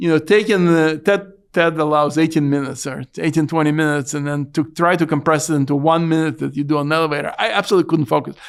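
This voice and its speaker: A man with a non-native accent, fairly high in pitch, at a very fast pace with hardly any pauses and fairly even intonation. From Ukraine. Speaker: startup CEO. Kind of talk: podcast interview. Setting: conference venue.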